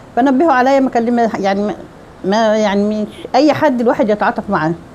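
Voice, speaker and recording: Against noticeable background noise, a woman speaks in a fairly high voice with ordinary pitch variation. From Egypt. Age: 70s. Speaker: retiree. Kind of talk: interview testimony. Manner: halting, with false starts.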